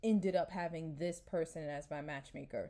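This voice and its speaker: In a plain, everyday voice, a woman with an American accent talks at a fairly slow pace and fairly low pitch, on a very clean recording with a silent background. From New York. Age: 30s. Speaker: podcast host. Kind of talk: casual solo podcast monologue. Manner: chatty, informal.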